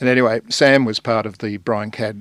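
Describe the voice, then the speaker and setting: A man talks at a moderate pace with an Australian accent. The recording is very clean, with a silent background. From Sydney, Australia. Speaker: journalist and songwriter. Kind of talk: casual chat. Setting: radio studio.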